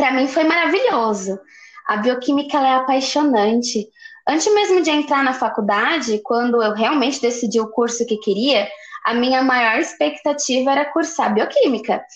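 Her intonation lively and her loudness very even, a woman speaks at a moderate pace in a high pitch. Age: 20s. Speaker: university student. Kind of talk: scripted educational podcast.

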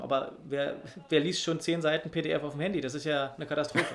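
In a normal speaking voice, a man talks at a fairly quick pace with a fairly high pitch. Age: 30s. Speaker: secondary school teacher. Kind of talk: casual chat.

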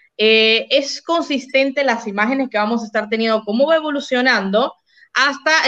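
A woman's fairly high voice has a bright, sharp tone and ordinary pitch variation. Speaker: podcast co-host. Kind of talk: casual livestream chat.

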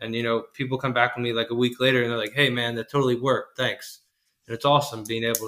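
Talking at a very fast pace, a man keeps a medium pitch with monotone, flat intonation. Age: 20s. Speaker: HVAC installer. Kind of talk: casual interview.

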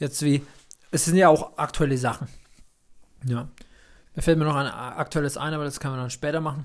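The speech moves at a fairly quick pace with fairly even intonation, though long, frequent pauses break it up. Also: man, fairly high pitch for a man. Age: 30s. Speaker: podcast co-host. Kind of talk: casual chat. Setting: home recording studio.

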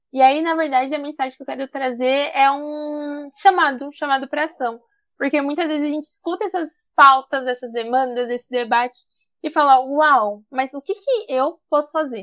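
A woman's high pitch with ordinary pitch variation at a moderate pace, in a very clean recording with a silent background. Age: 20s. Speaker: climate activist. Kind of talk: interview. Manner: animated.

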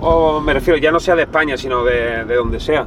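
There is noticeable background noise. The pitch variation is ordinary. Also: man. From southern Spain, Cádiz. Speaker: youtuber interviewer, freestyle rap background. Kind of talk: casual interview.

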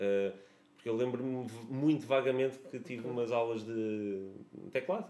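This man has an unremarkable speaking voice with a medium pitch. He speaks at a fairly slow pace with ordinary pitch variation. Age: 30s. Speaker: musician. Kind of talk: casual chat.

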